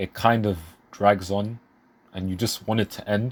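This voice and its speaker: On a very clean recording with a silent background, a man speaks quietly in an enthusiastic tone. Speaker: manga reviewer. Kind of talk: casual review talk. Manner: casual, enthusiastic.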